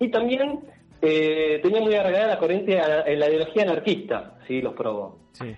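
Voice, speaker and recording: In a Rioplatense accent, the speaker uses very wide pitch swings at a moderate pace. Music plays in the background. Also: man, high pitch for a man. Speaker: radio columnist. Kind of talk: radio segment. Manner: halting. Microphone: possible bad connection.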